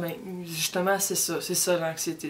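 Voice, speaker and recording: A woman speaks at a fairly slow pace with a Quebec accent. Her fairly low voice stays monotone and flat. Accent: Québécois French. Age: 20s. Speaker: university student. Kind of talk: personal testimony. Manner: halting, many repetitions.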